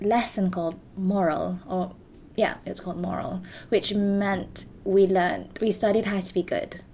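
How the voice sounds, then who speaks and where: A woman's medium-pitched voice with vocal fry, ordinary pitch variation, and a moderate pace. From Malaysia. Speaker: actor and performance maker. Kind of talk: casual chat. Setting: home, cat in the room.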